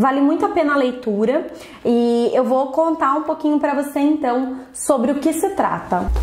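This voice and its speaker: A woman speaks at a moderate pace in a high voice with ordinary pitch variation and very even loudness, with audible room echo and noticeable background noise. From Brazil. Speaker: beauty sales consultant and trainer. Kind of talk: vlog book review. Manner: casual, conversational with fillers.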